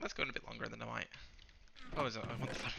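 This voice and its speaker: Over noticeable background noise, a man talks quietly. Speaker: gaming YouTuber. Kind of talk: gameplay commentary. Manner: fast.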